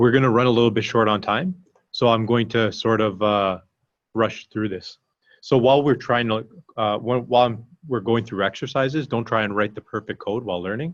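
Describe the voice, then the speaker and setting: A man talks at a fairly quick pace. His medium-pitched voice shows ordinary pitch variation. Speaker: meetup organizer and coding instructor. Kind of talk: online workshop presentation. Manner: halting.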